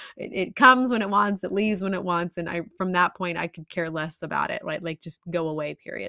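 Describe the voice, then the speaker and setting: The sound is dry and close with no echo as a woman talks at a fairly quick pace in an ordinary speaking voice. Her pitch is fairly low with ordinary variation, and her loudness swings widely. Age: 30s. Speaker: nutrition and lifestyle practitioner, podcast host. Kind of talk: solo educational podcast monologue. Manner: casual, conversational with fillers.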